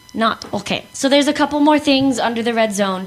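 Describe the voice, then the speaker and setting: A woman talks with lively intonation. Noticeable background noise is present. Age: 20s. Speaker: youth radio show host. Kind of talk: casual chat.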